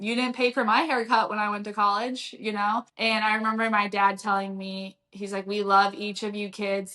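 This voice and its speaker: A woman speaks loud, with a bright, sharp tone. Her pace is fairly quick. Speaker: strength and conditioning coach. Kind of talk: podcast interview.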